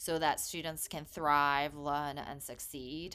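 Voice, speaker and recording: In a very clean recording with a silent background, a woman with a Korean accent and a bright, sharp tone speaks at a moderate pace. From England (grew up near London, born in Korea). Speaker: nonprofit founder. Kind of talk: casual conversation.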